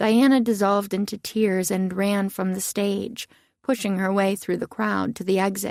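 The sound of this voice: The voice reads in an unforced way. Its intonation is fairly even.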